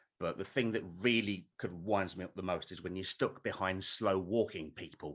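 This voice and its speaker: Hardly pausing at all, a man speaks in a very deep, low voice. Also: fairly even intonation, moderate pace. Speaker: comedy panel contestant. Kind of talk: comedy panel show chat. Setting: video call.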